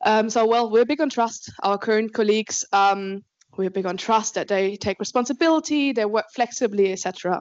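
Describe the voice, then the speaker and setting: In an Austrian accent, a woman talks at a fairly quick pace. Her pitch is fairly high, with ordinary pitch variation. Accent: non-British, Austrian. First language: German. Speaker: alumni program manager at a law firm. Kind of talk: conference talk.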